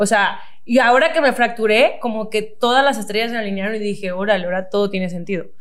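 A woman speaks very fast with a Mexican accent, her pitch fairly high and its variation ordinary. Audible room echo and noticeable background noise surround her. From Mexico, Cozumel. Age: 20s. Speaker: nutritionist and athlete. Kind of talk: casual interview chat.

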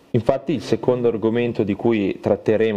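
A man with a medium pitch talks at a fairly quick pace over noticeable background noise. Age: 20s. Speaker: podcaster and logistics technician. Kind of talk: solo casual monologue.

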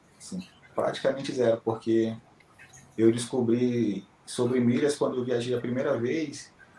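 With noticeable background noise behind him, a man of medium pitch speaks slowly enough to be fairly slow, his intonation fairly even. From Manaus, Amazonas, Brazil. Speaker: finance worker, student of a miles course. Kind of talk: interview.

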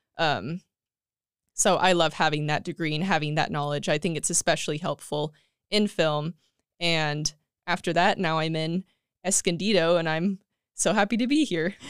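A woman with a Californian accent, fairly low in pitch, at a moderate pace with fairly even intonation and long, frequent pauses, in a very clean, dry, close recording with a silent background and no echo. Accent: Californian American. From California, Central Valley (Tulare). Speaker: film editor. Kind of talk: casual chat.

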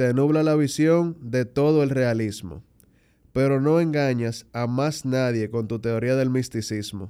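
On a very clean recording with a silent background, a man talks at a very slow pace. His tone is dark and mellow, with ordinary pitch variation. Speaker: podcast host. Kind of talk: casual chat; rhymed poetic introduction.

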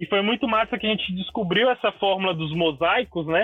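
A man talks at a moderate pace with ordinary pitch variation. His voice sits high for a man. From Brasília, Brazil. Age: 20s. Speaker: graffiti artist. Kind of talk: casual interview.

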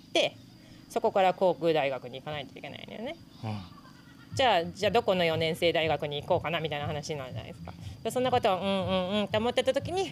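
A woman with a fairly low voice speaks very fast, her intonation lively. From Japan, Hokkaido (Sapporo). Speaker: professional gravel cyclist. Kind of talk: casual interview. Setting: outdoors at event venue.

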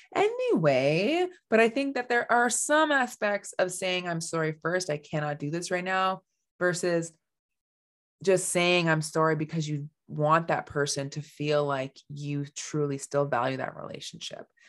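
On a very clean recording with a silent background, a woman talks at a fairly slow pace in a fairly low pitch with lively intonation. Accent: Canadian. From Canada. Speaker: life coach, former mental health clinician. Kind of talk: solo podcast monologue.

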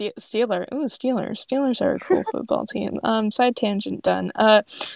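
Reading done in an unforced voice

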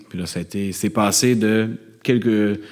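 A man speaks with fairly low pitch and monotone, flat intonation. Audible room echo is present. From Quebec, Montreal suburbs. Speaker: ecological economics professor and bassist. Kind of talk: live interview before audience. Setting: stage with audience.

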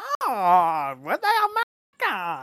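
Putting on a character voice, a man speaks in a German accent at a high pitch, recorded with a dry, close sound and no echo. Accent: flamboyant German.

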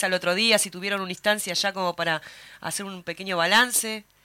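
A woman with a Uruguayan accent speaks at a moderate pace in a medium pitch over noticeable background noise. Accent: Rioplatense Spanish (Uruguayan). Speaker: radio host. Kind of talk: casual chat.

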